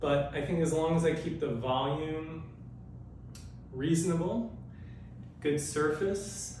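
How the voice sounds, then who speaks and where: Noticeable background noise sits behind a man with a fairly high pitch and fairly even intonation. He talks at a very slow pace with long, frequent pauses. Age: 60s. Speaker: jump rope instructor. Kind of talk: casual talk to camera.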